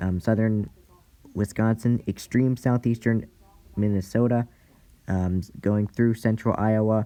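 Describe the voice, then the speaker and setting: A man's dark, mellow tone in a monotone, flat intonation, at a fairly slow pace with long, frequent pauses. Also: fairly low pitch for a man. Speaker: amateur weather presenter. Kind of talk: weather outlook briefing. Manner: halting, frequent self-corrections.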